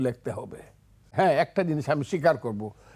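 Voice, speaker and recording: The intonation is lively throughout. The recording is very clean, with a silent background. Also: man. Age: 70s. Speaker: lawyer and politician, war veteran. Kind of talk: TV talk show discussion.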